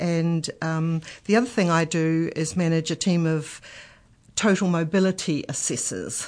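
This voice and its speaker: Fairly slow, fairly even speech with a New Zealand accent against a quiet background. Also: woman, fairly low pitch for a woman. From New Zealand, Marlborough and Nelson. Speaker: aged care health support manager. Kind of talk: radio interview.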